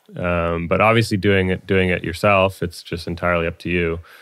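A man speaks at a fairly quick pace with a very deep, low pitch. He has a Californian accent, and the recording is very clean with a silent background. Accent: Californian American. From US, Palo Alto, California. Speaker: electronic music producer and DJ. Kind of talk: casual interview chat.

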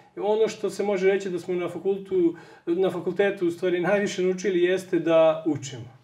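This man has a high pitch and fairly even intonation. He moves at a fairly quick pace. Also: hardly any pauses. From Serbia. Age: 30s. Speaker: software engineer; interview guest. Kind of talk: TV interview. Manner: halting. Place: home room.

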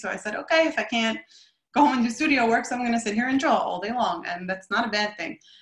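Speaking very fast with lively intonation, a woman has a fairly high pitch. Her voice carries audible room echo over a quiet background. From US, Brooklyn area; New York. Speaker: artist. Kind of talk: presentation. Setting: video call. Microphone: video call.

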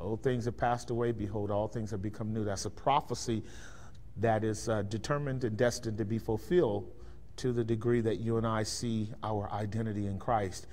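An ordinary speaking voice from a man with an American accent, fairly low in pitch, fairly quick, and fairly even in intonation. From Bay Area, California; California. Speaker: pastor. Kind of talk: lecture. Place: church.

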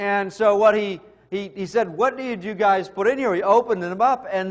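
Over a quiet background, a man speaks at a fairly slow pace. His pitch is high and his intonation fairly even. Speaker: preacher. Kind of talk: sermon. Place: church. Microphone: podium.

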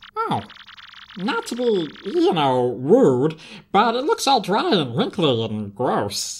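The voice has a middle pitch and moves at a very slow pace. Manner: rambling, anxious, blunt.

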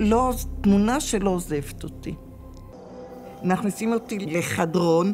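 With clear music in the background, a woman speaks at a very slow pace and leaves long, frequent pauses. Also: ordinary pitch variation. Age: 80s+. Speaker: former hostage. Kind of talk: interview testimony. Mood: calm, reflective, sometimes wry. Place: hall.

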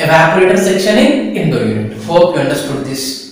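Fairly quick and fairly high-pitched, a man talks with big pitch swings amid strong room echo.

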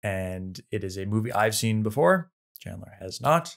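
At a fairly slow pace, an ordinary speaking voice is heard over a quiet background. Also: man. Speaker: podcast co-host. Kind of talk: casual film discussion. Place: home room.

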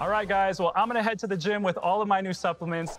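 Faint music plays in the background as a man speaks in a high voice, the sound dry with no echo. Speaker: presenter. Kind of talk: sponsored product talk to camera. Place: home room.

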